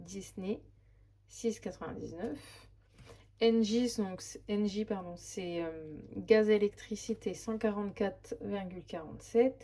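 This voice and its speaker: Somewhat breathy, with a dark, mellow tone, a woman speaks at a very slow pace. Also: medium pitch for a woman, ordinary pitch variation. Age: 30s. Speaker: budget vlogger, single mother. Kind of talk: casual budget walkthrough. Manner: hesitant, many fillers.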